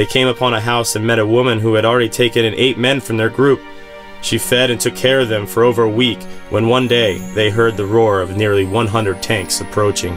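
A man's medium-pitched voice at a fairly quick pace, fairly even intonation, music in the background. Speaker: grandson of the survivor. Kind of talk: documentary narration.

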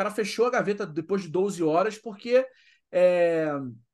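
A man talks in a high pitch with lively intonation. The background is quiet. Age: 40s. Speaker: podcast host. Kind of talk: casual interview chat.

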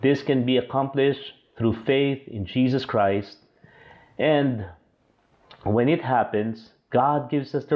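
A man talks at a very slow pace with long, frequent pauses. His pitch variation is ordinary, and the background is quiet. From Philippines. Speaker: pastor; bible teacher. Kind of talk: recorded Bible lesson.

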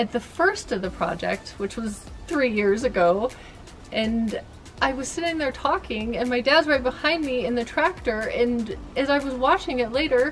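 A woman speaks at a moderate pace with a high pitch. Light background noise can be heard. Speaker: homeowner vlogger. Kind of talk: casual vlog chat. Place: garden.

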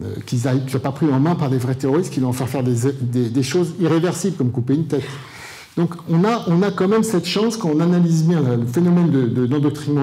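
With ordinary pitch variation, the man speaks at a fairly quick pace. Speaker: conference speaker. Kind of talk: lecture. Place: hall. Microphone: handheld.

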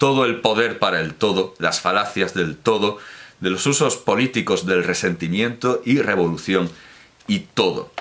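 In a plain, everyday voice, a man talks at a fairly slow pace with a fairly low pitch and ordinary pitch variation. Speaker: book reviewer. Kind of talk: commentary. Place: home room.

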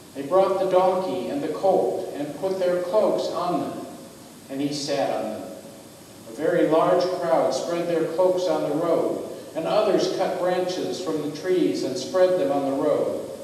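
There is strong room echo and light background noise as a man speaks at a fairly slow pace. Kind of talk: scripture reading. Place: church.

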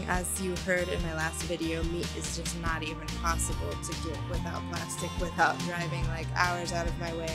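There is loud music in the background. A woman speaks over it at a moderate pace. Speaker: vlogger. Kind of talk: casual vlog chat. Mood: playful, animated. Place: garden. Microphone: phone near.

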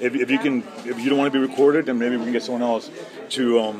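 Over crowd noise in the background, a man talks at a very fast pace. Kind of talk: heated argument with an official. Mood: frustrated, impatient. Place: hall. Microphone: phone near.

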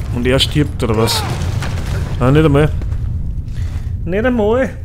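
A man with a fairly high pitch speaks at a fairly slow pace, his pitch swinging very widely. Noticeable background noise is present. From Austria. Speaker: let's play gamer. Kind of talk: casual gameplay commentary. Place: home room. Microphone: studio mic.

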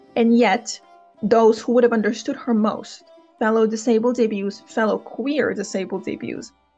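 Over background music, a woman talks fairly quickly in a fairly high voice with fairly even intonation. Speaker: author and book commentary creator. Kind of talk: opinion commentary to camera.

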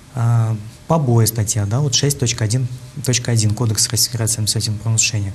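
Against light background noise, the voice holds a fairly even intonation and very even loudness. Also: man. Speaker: deputy prosecutor. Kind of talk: TV studio interview. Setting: TV studio. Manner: formal; halting. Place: studio. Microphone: lapel.

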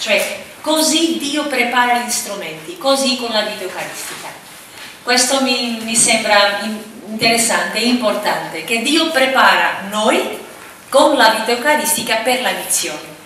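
The woman's voice is high-pitched, with light background noise and audible room echo. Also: fairly slow pace. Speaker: speaker. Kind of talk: lecture. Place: hall.

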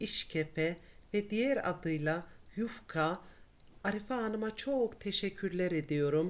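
A woman speaks at a very slow pace with medium pitch and ordinary pitch variation on a very clean recording with a silent background. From Tokat, central Anatolia, Turkey. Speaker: cooking channel host. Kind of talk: cooking tutorial narration.

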